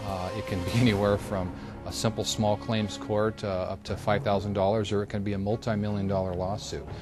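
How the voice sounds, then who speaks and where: At a fairly quick pace, a man speaks in a fairly low pitch with music in the background. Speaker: private investigator; former police officer. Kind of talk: interview answer.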